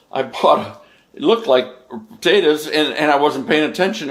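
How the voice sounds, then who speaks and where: Here a man with an unremarkable speaking voice talks at a fairly high pitch with lively intonation. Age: 60s. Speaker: home cook on cooking channel. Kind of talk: casual recap to camera; cooking tutorial. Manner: casual, folksy.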